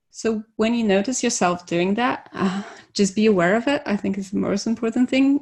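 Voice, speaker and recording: A woman with a non-native accent speaks at a moderate pace and medium pitch, somewhat breathy, with lively intonation over a quiet background. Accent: nondescript foreign. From Poland. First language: Polish. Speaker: conference speaker, devops engineer. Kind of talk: conference talk.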